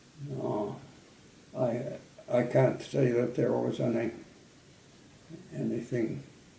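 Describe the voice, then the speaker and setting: A man talks at a very slow pace, leaving long, frequent pauses. Noticeable background noise can be heard. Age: 90s. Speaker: World War II Air Force veteran. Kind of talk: interview answer. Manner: hesitant, halting.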